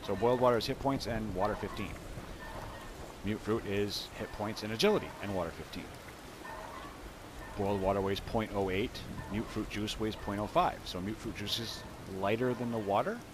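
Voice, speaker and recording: A man's fairly low voice at a moderate pace, relaxed in tone and fairly even in intonation, with long, frequent pauses over noticeable background noise. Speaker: gaming video creator. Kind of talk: game tutorial commentary. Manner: halting, stuttering; casual, relaxed.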